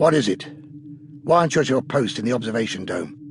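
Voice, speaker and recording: In a put-on character voice, a man talks at a very fast pace with a raspy, medium-pitched sound over clear background noise. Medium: read story. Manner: curt, commanding.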